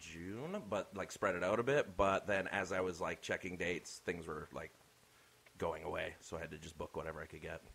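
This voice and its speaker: A man talks at a fairly quick pace. His pitch is very deep and low, with ordinary variation. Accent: slight Canadian. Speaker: comedian.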